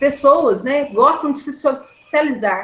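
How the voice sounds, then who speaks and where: This woman has a high pitch and very wide pitch swings, and she speaks at a fairly slow pace. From Brazil, southern Minas Gerais (Campo do Meio). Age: 20s. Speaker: university lecturer and course coordinator. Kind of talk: online class lecture. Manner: animated, conversational.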